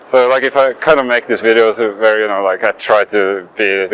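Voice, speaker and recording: Fairly low male pitch with ordinary variation, a moderate pace, and noticeable background noise. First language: not English. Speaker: skating youtuber. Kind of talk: casual vlog monologue while skating. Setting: outdoors, skating near traffic. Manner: hesitant, with fillers and restarts.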